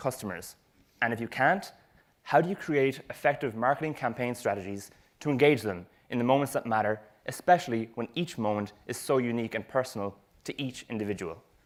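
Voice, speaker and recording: A man with a Cork accent talks at a fairly quick pace in a very clean recording with a silent background. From Ireland, Cork. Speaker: retail marketing expert. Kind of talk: presentation talk. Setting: stage with audience.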